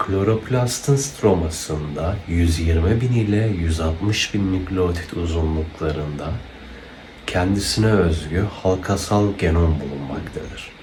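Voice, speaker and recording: A man with a very deep, low voice speaks at a very slow pace with ordinary pitch variation over noticeable background noise. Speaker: biology educator. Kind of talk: educational animation narration. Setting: home recording, computer fan noise in background.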